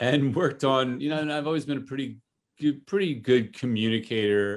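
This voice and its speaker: In an American accent, a man talks at a moderate pace with lively intonation. He has a normal speaking voice. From US Northeast, New Jersey. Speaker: cannabis brand CEO and marketer. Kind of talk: interview.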